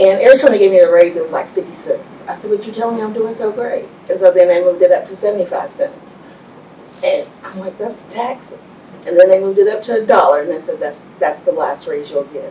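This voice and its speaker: A woman talks at a very fast pace in a Texan accent, her loudness swinging widely, over noticeable background noise. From Texas Panhandle (Amarillo). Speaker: business owner. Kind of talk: interview.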